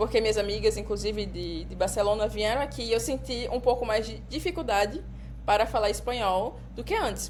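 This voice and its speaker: A woman talks at a middling speed while noticeable noise runs in the background. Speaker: podcast co-host. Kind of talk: casual chat.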